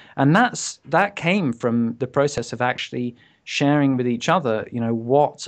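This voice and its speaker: A man with a British accent speaks at medium pitch and a moderate pace. The background is quiet. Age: 40s. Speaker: entrepreneur and author. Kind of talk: casual interview chat.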